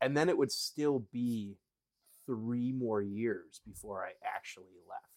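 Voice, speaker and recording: A man with an Upper Midwest accent speaks at a very slow pace with ordinary pitch variation. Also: medium pitch for a man. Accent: Upper Midwest American. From Wisconsin. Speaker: former youth pastor now in sales. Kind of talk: casual conversation, personal testimony.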